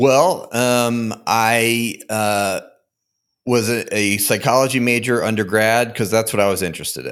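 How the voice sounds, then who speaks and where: On a very clean recording with a silent background, a man with an American accent speaks in a plain, everyday voice. His pitch is medium, his intonation fairly even, and his pace fairly slow. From Connecticut, US. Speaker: therapist and podcaster. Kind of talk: interview, explanatory.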